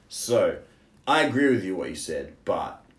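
A man speaks with an Australian accent, and audible room echo surrounds his voice. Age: 20s. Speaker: English teacher in China. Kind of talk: casual chat. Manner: halting, many fillers.

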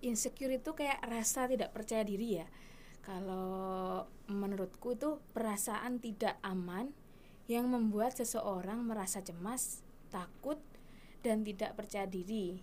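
Delivered at a fairly slow pace, this is a normal speaking voice with ordinary pitch variation. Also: woman, fairly high pitch for a woman. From Indonesia, Bantul, Yogyakarta. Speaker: university student counsellor. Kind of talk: casual interview.

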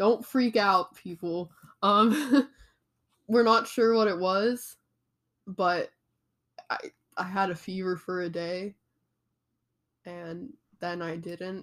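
Her loudness swinging widely, a woman speaks very slowly at a medium pitch with ordinary pitch variation and long, frequent pauses. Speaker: podcast co-host. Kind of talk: casual chat.

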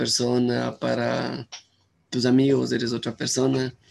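A man speaks at a fairly slow pace. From Ecuador, Cuenca. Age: 20s. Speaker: university student. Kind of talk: casual chat. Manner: halting.

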